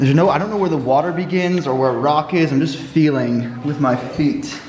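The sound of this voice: Clear background noise sits under a man's voice. His pitch is fairly high and his pace is moderate. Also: ordinary pitch variation.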